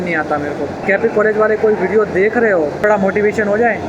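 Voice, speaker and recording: A man's high voice carries over clearly noticeable background noise. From India, Gujarat (Surat). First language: Gujarati (speaking Hindi). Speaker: civil services exam aspirant vlogger. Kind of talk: casual vlog narration, Hindi-English mix.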